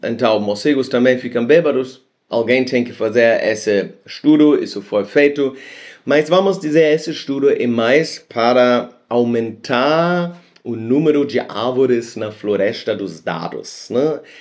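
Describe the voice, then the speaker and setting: Speaking at a fairly slow pace, a man with a medium pitch shows ordinary pitch variation. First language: not Portuguese (speaking Portuguese). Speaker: science video host. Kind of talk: casual explainer monologue. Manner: halting.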